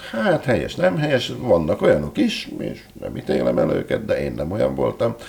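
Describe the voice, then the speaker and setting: Noticeable background noise sits behind the talking. The pace is moderate. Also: man. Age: 60s. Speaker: writer and entrepreneur. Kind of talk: interview. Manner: halting.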